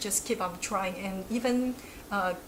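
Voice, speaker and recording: A woman with a Chinese accent speaks at a fairly slow pace in a medium pitch with ordinary pitch variation, over noticeable background noise and audible room echo. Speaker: academic researcher. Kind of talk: interview.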